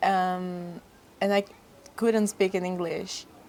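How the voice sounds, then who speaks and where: A woman is speaking. She has a Portuguese accent. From Brazil. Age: young. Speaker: fashion model. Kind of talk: casual chat. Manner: halting, non-fluent English.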